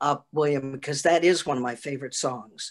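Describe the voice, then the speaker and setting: Her voice is very deep and low, with an American accent. This woman keeps a fairly quick pace. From US Midwest, Milwaukee, Wisconsin. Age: 80s+. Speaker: Broadway performer. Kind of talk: interview.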